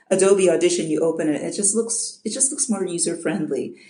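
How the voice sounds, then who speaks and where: A dark, mellow voice in an American accent, with ordinary pitch variation and audible room echo. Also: woman. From US Midwest, Chicago. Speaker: audiobook narrator. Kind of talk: interview. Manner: halting.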